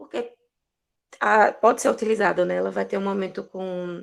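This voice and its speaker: Fairly slow pace with vocal fry. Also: woman. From Brazilian Northeast. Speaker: social worker. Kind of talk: online talk circle.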